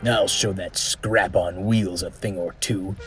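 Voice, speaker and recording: A man cackles in a put-on character voice at a fairly slow pace, with music playing in the background. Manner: cackling.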